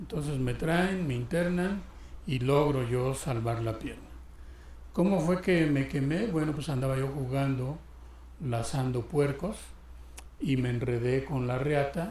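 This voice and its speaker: Talking fairly slowly with long, frequent pauses, a man uses a fairly high pitch and ordinary pitch variation amid audible room echo. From Mexico, Guerrero (Tierra Caliente). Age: 60s. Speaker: church deacon. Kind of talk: testimony.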